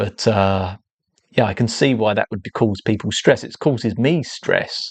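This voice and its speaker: A man speaks with an English accent at a fairly low pitch, his intonation fairly even. The sound is dry and close, with no echo. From England. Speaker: artist and livestreamer. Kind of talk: casual livestream talk. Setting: live stream. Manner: hesitant, repeats words.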